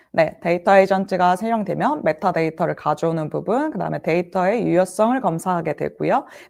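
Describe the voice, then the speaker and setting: A woman with vocal fry talks at a fairly quick pace with hardly any pauses, her fairly low pitch carrying lively intonation on a very clean recording with a silent background. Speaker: solution engineer presenting tech session. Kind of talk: tech demo presentation. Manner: fast.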